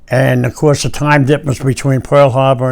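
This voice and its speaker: Fairly quick and monotone, a man speaks at a medium pitch with flat intonation. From New Jersey, Bayonne. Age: 90s. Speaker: war veteran. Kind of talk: interview. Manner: halting, repetitive.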